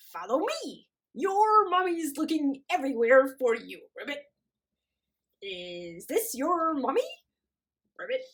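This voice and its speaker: In a put-on character voice, high and croaky, the speaker moves at a fairly slow pace with very wide pitch swings and long, frequent pauses. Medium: read story. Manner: croaks ribbit between phrases.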